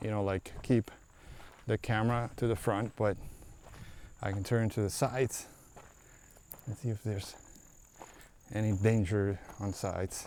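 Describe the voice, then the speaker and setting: A man's fairly low voice at a moderate pace, his intonation fairly even, broken by long, frequent pauses. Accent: Aruban. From Aruba. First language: Papiamento. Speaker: travel vlogger. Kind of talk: casual vlog narration. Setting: outdoors at night on a hiking trail.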